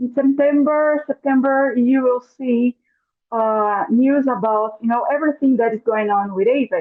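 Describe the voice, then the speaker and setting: With a Portuguese accent, a woman speaks at a moderate pace. Her pitch is high, with ordinary pitch variation. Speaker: webinar host. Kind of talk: live webinar introduction. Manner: halting.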